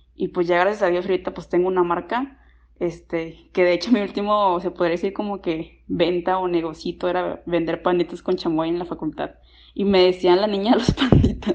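Against a quiet background, a woman with an unremarkable speaking voice and fairly low pitch talks at a moderate pace with fairly even intonation. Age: 20s. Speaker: student and clothing brand founder. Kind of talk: personal testimony.

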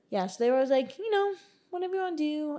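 A woman with an American accent talks very fast in a high pitch, her dark, mellow tone moving through very wide pitch swings. Her voice rises and falls dramatically throughout. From Texas. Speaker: podcast co-host. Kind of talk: casual chat.

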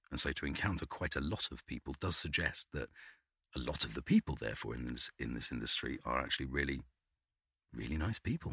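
A man's very deep, low voice with a British accent, vocal fry and a bright, sharp tone, at a very fast pace with ordinary pitch variation and a dry, close sound with no echo. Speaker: voice artist. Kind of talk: casual chat. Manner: halting, repeats words.

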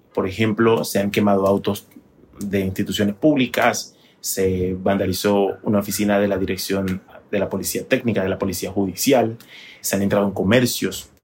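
Speaking at a moderate pace, a man with fairly low pitch uses fairly even intonation in a normal speaking voice. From Panama. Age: 30s. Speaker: TV journalist. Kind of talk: interview.

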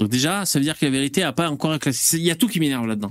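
The speaker goes at a very fast pace, the pitch swinging very widely. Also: man. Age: 40s. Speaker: live stream host. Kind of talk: casual chat. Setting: live stream.

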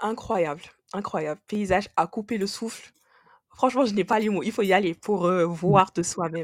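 A woman's medium-pitched, unremarkable speaking voice, with ordinary pitch variation at a moderate pace, dry and close with no echo. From Senegal. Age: 20s. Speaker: engineer, travel guest. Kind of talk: casual chat.

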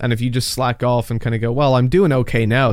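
Very fast speech comes from a man at medium pitch with a slight Dublin accent. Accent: Irish, Dublin, fairly mild. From Dublin, Ireland. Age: 20s. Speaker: esports commentator. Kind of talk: casual interview chat.

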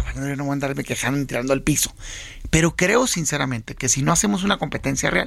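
In a normal speaking voice, a man uses lively intonation at a fairly high pitch. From Mexico, Sonora (Hermosillo). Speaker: senator and opposition party leader. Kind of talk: political interview. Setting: radio studio.

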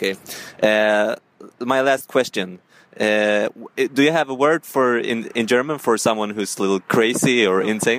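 A man with a Swedish accent, a medium pitch and ordinary pitch variation, at a fairly slow pace. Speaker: podcast host interviewing passers-by. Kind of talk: street vox-pop interview. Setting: outdoor street interviews on portable recorder. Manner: halting, non-fluent English.

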